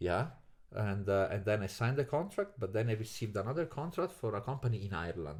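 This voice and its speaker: With an Italian accent, a man speaks very fast at a fairly low pitch, somewhat breathy and with very wide pitch swings, on a very clean recording with a silent background. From Italy, Naples. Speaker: podcast guest. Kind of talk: casual chat.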